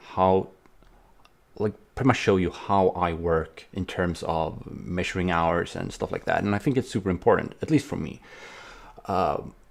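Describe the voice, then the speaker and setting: A man with a very deep, low pitch is captured in a very clean recording with a silent background. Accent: non-native. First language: not English. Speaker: indie game developer vlogger. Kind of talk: casual vlog. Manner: hesitant, many fillers.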